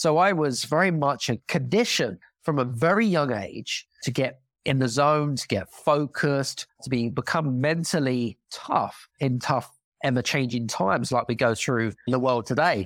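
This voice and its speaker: In a British accent, a man of medium pitch speaks at a moderate pace with ordinary pitch variation, the sound dry and close with no echo. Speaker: former elite athlete and leadership coach. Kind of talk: casual interview chat.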